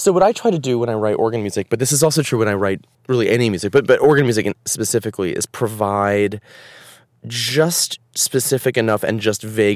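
With an unremarkable speaking voice, a man talks at a moderate pace, his pitch fairly low with ordinary variation. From US Northeast, Providence, Rhode Island. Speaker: composer. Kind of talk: casual interview chat.

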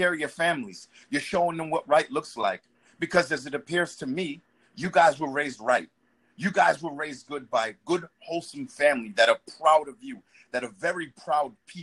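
Using an unremarkable speaking voice with an American accent, a man speaks at a moderate pace, fairly high in pitch and lively in intonation. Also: big swings in loudness. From Boston, Dorchester. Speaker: caller, retired army veteran. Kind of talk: casual chat.

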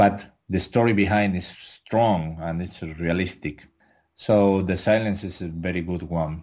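A man with a Spanish accent speaks in a very deep, low voice. His intonation is fairly even and his pace fairly slow. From Canary Islands, Spain (Tenerife). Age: 30s. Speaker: adult film performer. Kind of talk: interview. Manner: halting, many fillers.

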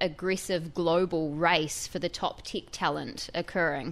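The recording is very clean, with a silent background. A woman with a New Zealand accent speaks at a fairly low pitch, with ordinary pitch variation. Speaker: tech reporter. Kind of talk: radio interview. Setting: studio.

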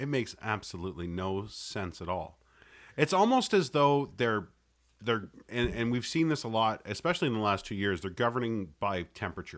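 A man with a Canadian accent and an unremarkable speaking voice, medium-pitched and lively, at a moderate pace, on a very clean recording with a silent background. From Canada. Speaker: podcaster and co-host. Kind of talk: casual chat.

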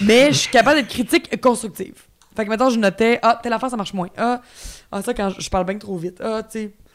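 With a Quebec accent, the speaker talks at a very fast pace with ordinary pitch variation. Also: woman, fairly high pitch for a woman. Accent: Québécois French. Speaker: actress. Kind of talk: casual chat.

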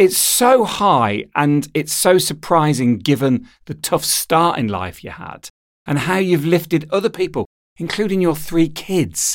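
In a very clean recording with a silent background, a man with a normal speaking voice and a fairly high pitch talks at a fairly slow pace. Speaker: podcast host. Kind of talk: interview.

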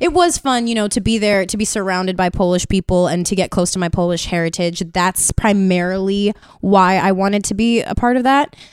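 A woman's normal speaking voice in an American accent, medium in pitch, fairly quick with hardly any pauses, and with ordinary pitch variation. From Brooklyn, New York. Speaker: soap opera actress. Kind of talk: casual chat.

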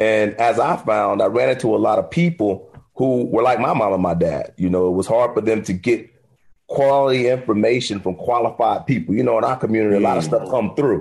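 A man has a normal speaking voice with an American accent, a medium pitch and ordinary pitch variation. He talks at a fairly quick pace with very even loudness. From Miami, Florida. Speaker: financial advisor. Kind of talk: interview.

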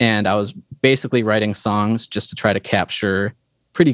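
A man talks in an ordinary speaking voice with ordinary pitch variation. The sound is dry and close with no echo, in a very clean recording with a silent background. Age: 30s. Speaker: indie game developer and composer. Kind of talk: casual interview.

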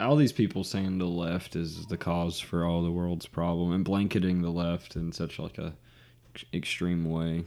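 A man with an Alabama accent speaks at a moderate pace in a very deep, low pitch with a dark, mellow tone. His intonation is fairly even, and the recording is very clean with a silent background. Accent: Southern US (Alabama). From US South. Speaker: podcast co-host. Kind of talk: casual chat.

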